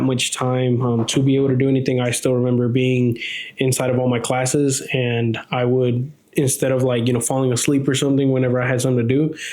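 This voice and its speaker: A man with an American accent, medium in pitch and fairly quick in pace, with monotone, flat intonation and very even loudness, amid audible room echo and noticeable background noise. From Texas. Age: 20s. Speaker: podcast co-host, property services business owner. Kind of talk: casual chat.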